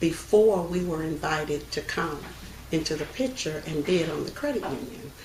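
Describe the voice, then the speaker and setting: Over noticeable background noise, a woman with a very deep, low pitch and an American accent talks at a moderate pace with ordinary pitch variation. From Texas, United States. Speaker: credit union president and CEO. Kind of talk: interview answer, oral history.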